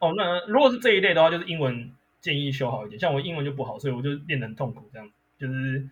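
A man's somewhat breathy voice at a very fast pace, with lively intonation and big swings in loudness. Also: fairly high pitch for a man. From Taiwan, Miaoli. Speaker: lawyer. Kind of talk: casual interview chat.

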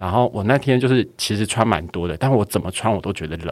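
Pitched fairly low, a man talks at a very fast pace with lively intonation. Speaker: podcast co-host. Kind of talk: casual chat.

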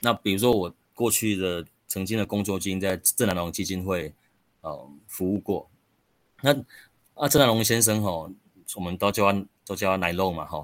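A man talks at a moderate pace with long, frequent pauses. His fairly low voice has ordinary pitch variation. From Taiwan, rural Chiayi County. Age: 40s. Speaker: local council candidate. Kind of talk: interview.

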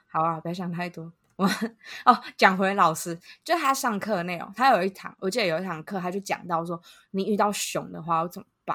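A woman speaks at a medium pitch and a fairly quick pace, with ordinary pitch variation and big swings in loudness. Her tone is bright and sharp, and the recording is very clean with a silent background. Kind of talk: casual chat.

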